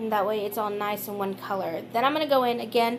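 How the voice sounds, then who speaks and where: Her voice is a plain, everyday voice, a woman's with a fairly high pitch and fairly even intonation. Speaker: beauty vlogger. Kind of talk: makeup tutorial voiceover. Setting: recorded voiceover.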